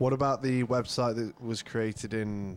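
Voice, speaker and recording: At a moderate pace, a man speaks at a medium pitch with ordinary pitch variation in an unremarkable speaking voice. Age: 30s. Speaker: podcast guest. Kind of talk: casual chat.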